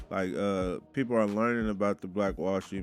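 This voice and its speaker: Over music in the background, a man with an American accent mumbles at a moderate pace, his fairly low pitch held in fairly even intonation. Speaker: local musician and business owner. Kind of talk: casual interview. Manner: mumbling. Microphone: quiet at first, mic adjusted.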